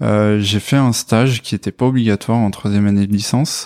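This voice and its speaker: A man at a moderate pace with fairly even intonation, in a dry, close sound with no echo. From France, Corrèze (Brive-la-Gaillarde). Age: 20s. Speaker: software developer, former biology student. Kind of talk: testimony interview. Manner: hesitant, many fillers.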